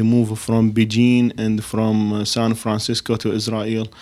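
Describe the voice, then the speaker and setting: Monotone, flat intonation from a man at medium pitch with an Arabic accent. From Iraq. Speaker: podcast co-host. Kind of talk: casual interview.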